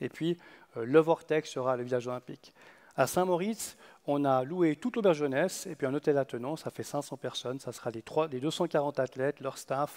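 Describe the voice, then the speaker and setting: A man speaks at a fairly quick pace in a fairly high pitch, with ordinary pitch variation. The sound is dry and close with no echo, and the recording is very clean over a silent background. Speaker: conference speaker, youth olympic games organiser. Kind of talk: conference talk. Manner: fast; halting.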